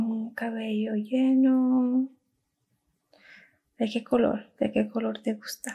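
Speaking at a very slow pace with long, frequent pauses, a woman uses a dark, mellow tone and monotone, flat intonation. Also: fairly high pitch for a woman, quiet background. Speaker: ASMR content creator. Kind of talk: ASMR roleplay, talking to camera. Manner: soft-spoken, slow. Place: home room. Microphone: studio mic.

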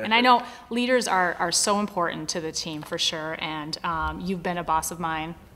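At a moderate pace, the woman talks. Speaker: business manager. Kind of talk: interviewer questions. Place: office.

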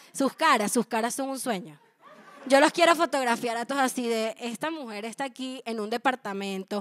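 Her voice sits at a high pitch for a woman, with ordinary pitch variation. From Venezuela. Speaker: stand-up comedian. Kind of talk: stand-up comedy. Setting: small intimate apartment show with live audience. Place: home room. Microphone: handheld.

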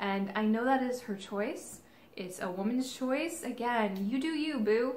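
Audible room echo carries a somewhat breathy woman with an American accent, speaking at a fairly slow pace with ordinary pitch variation. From Kansas City. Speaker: golf vlogger. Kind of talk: casual vlog monologue. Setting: in retail stores. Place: home room. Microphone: camera far.

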